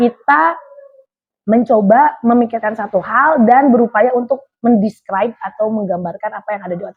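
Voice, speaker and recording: A woman with a fairly high pitch speaks at a moderate pace in an animated tone. Her loudness swings widely while her pitch varies in an ordinary way. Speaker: radio announcer. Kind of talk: interview. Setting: radio station.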